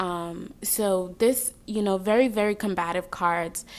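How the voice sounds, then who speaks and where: This woman has a slight Jamaican accent. Her medium-pitched voice keeps a fairly even intonation. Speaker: tarot reader. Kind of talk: tarot reading. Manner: casual, filler-heavy.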